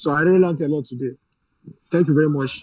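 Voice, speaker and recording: A somewhat breathy man with a Nigerian accent, fairly high in pitch, with ordinary pitch variation. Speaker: webinar participant, doctor. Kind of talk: thank-you remarks in online webinar.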